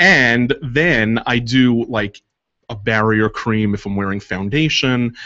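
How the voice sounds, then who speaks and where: A man with an American accent talks at a very slow pace, his medium pitch showing ordinary variation. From New York. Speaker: makeup artist. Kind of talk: casual chat. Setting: radio studio.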